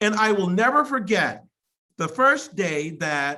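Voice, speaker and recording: A woman talks in a bright, sharp tone, her pitch swinging very widely. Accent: American. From Mississippi, US South. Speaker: college president. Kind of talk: commencement speech. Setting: virtual ceremony via video call. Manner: halting, frequent repetitions.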